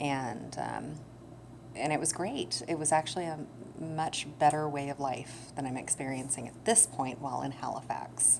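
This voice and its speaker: Amid noticeable background noise and audible room echo, a woman speaks with a very deep, low pitch and ordinary pitch variation. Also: moderate pace. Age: 30s. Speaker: vlogger with chronic illness. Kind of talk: personal vlog talk. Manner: halting, many fillers.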